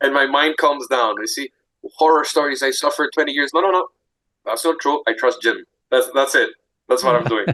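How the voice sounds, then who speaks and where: Speaking with a Greek accent, a man talks at a fairly quick pace. He takes long, frequent pauses. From Greece. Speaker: support group member. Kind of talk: casual chat. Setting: video call. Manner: halting.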